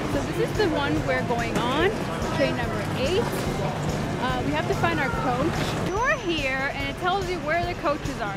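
Music can be heard in the background. The sound is dry, with no echo. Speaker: parent vlogger filming family trip. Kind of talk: casual vlog chat. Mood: excited, slightly nervous. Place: station. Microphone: phone near.

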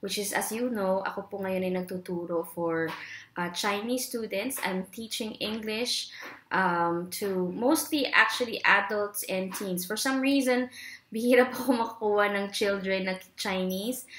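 A woman at a fairly slow pace, with ordinary pitch variation and audible room echo. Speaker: online English teacher, trainer. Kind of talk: casual vlog chat. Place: home room. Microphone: webcam.

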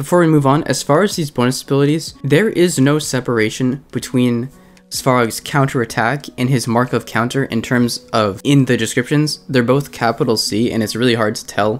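With music playing in the background, a man talks at a moderate pace in a medium pitch with ordinary pitch variation. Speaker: game guide youtuber. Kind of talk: game guide commentary. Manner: casual.

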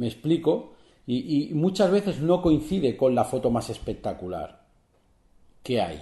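A man's fairly high, dark and mellow voice with vocal fry and very wide pitch swings, fairly slow with long, frequent pauses, audible room echo and a quiet background. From Spain, Barcelona; Catalonia, Spain. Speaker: photographer and photography podcaster. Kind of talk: solo podcast tutorial. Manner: hesitant, many fillers and repetitions. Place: home room.

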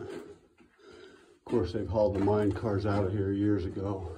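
As a man speaks, background noise is clearly noticeable. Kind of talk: casual vlog commentary. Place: tunnel cave. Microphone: phone near.

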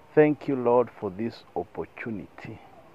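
The tone is solemn. The pace is very slow. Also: man. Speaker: prayer leader. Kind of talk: closing group prayer, fervent and devout. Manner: earnest, solemn, rhythmic repetition; fervent, heartfelt.

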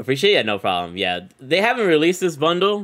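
A man's fairly high voice with vocal fry, an animated tone and very wide pitch swings, over a quiet background. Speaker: gaming streamer. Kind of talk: live gameplay commentary. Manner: casual, animated. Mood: upbeat, friendly. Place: home room.

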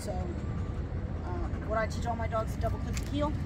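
The talking moves at a moderate pace. Loud background noise runs underneath. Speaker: dog trainer. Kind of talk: instruction while training a dog. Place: street. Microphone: camera far.

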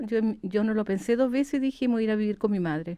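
At a fairly quick pace, a woman talks in a fairly high pitch with a dark, mellow tone against a quiet background. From Chile. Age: 70s. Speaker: active retiree and folk musician; interviewee. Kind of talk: interview. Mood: warm, calm, reflective. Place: studio. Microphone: studio mic.

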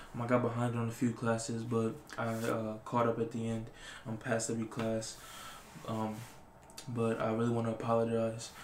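A soft-spoken man talks at a moderate pace in a monotone, flat way, with long, frequent pauses. Audible room echo and light background noise fill the recording. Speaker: ASMR creator. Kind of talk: ASMR reading of random facts. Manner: casual, hesitant. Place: home room.

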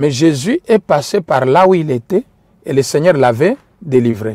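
In a non-native accent, a man speaks at a fairly slow pace with a dark, mellow tone and very wide pitch swings, the sound dry and close with no echo. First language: not French (speaking French). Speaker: preacher. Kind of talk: sermon. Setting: livestream.

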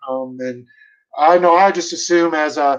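A high-pitched male voice over a quiet background. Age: 40s. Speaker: bird dog trainer. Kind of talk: casual interview. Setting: video call. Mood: relaxed, smiling. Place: home room. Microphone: video call.

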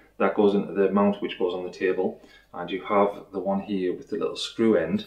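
A man talks at a fairly quick pace. Audible room echo is present. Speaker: product reviewer. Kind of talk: unboxing tutorial. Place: home room.

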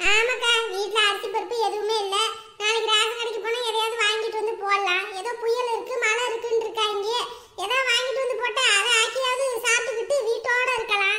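A woman's cartoonish character voice, extremely high in pitch, at a moderate pace with monotone, flat intonation. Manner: chatty, friendly, gossipy.

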